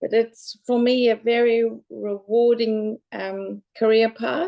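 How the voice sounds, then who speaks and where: A woman's fairly high-pitched voice with a South African accent. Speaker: local government general manager. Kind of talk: panel self-introduction.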